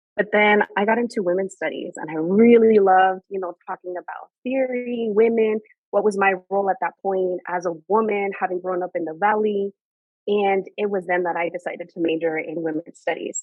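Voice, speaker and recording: In a Spanish accent, a woman of medium pitch speaks at a moderate pace with fairly even intonation. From Mexican border region, Mexicali, Baja California. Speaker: higher education leader. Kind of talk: podcast interview.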